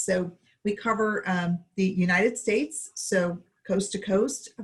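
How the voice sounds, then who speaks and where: Somewhat breathy, a woman's medium-pitched voice keeps a fairly even intonation. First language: not English. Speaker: bank executive. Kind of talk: panel discussion.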